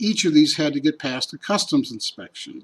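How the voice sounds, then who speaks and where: The speech moves at a fairly quick pace with an American accent. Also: man. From Chicago, US Midwest. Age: 60s. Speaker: sculptor. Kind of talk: scripted narration.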